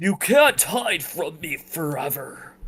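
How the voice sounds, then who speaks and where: This man puts on a character voice that is raspy and growling, high in pitch, with very wide pitch swings. He goes at a fairly slow pace. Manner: growling, menacing.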